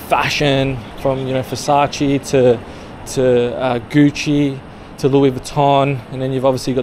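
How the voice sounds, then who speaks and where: At a fairly slow pace, a man speaks with monotone, flat intonation over light background noise. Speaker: street vlogger. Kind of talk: casual vlog chat. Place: street. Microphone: phone near.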